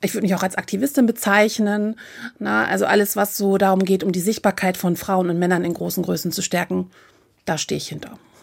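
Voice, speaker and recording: A woman speaks at a medium pitch and a fairly quick pace with ordinary pitch variation in a normal speaking voice, on a very clean recording with a silent background. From northern Germany, Hamburg. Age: 40s. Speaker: influencer and plus-size model. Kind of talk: interview.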